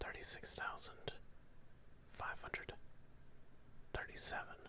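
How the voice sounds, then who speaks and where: Someone is whispering. Light background noise can be heard. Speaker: live streamer. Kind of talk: counting aloud and casual chat with viewers. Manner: slow whispered counting.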